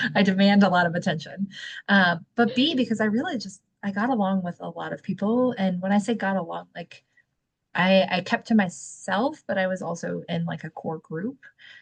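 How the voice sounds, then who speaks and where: The speaker's voice shows vocal fry. The pace is moderate. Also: woman, medium pitch for a woman, ordinary pitch variation. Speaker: podcast co-host. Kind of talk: casual chat. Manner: loud.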